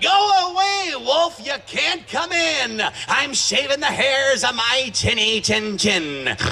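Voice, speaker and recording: A man uses a put-on character voice at extremely high pitch, keeping a fairly slow pace. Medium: read story.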